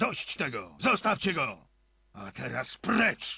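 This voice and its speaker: A put-on character voice is used here. Its pace is fairly slow. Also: man. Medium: video game.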